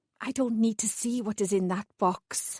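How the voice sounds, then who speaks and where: Moderate pace and fairly high pitch from a woman doing a put-on character voice. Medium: read story. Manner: anxious.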